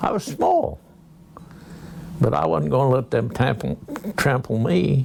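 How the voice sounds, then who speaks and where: Speaking fairly slowly with an American accent, a man with a medium-pitched voice makes very wide pitch swings at very even loudness, with long, frequent pauses and noticeable background noise. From US Midwest, rural Kansas. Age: 80s+. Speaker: war veteran. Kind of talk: interview. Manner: halting.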